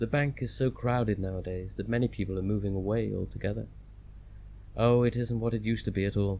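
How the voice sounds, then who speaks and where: With a British accent, a man speaks at a moderate pace in a fairly low, soothing voice that is dark and mellow. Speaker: audiobook narrator. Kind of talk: audiobook reading. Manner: restful, soothing.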